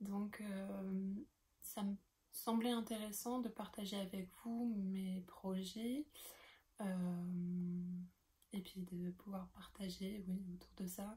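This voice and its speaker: At a very slow pace, a woman with a dark, mellow tone and a somewhat breathy sound speaks at medium pitch with fairly even intonation and long, frequent pauses. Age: 20s. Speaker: knitting podcaster. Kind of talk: casual show-and-tell tutorial. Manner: hesitant, many fillers.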